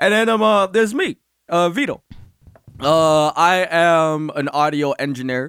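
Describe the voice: A high-pitched man with a New York accent, lively intonation and a fairly slow pace, recorded dry and close with no echo.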